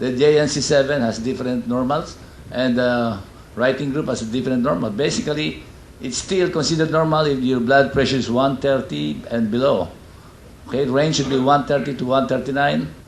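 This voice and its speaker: At a fairly quick pace, a man speaks with ordinary pitch variation, audible room echo and noticeable background noise. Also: medium pitch for a man. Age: 60s. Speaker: doctor. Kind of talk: lecture.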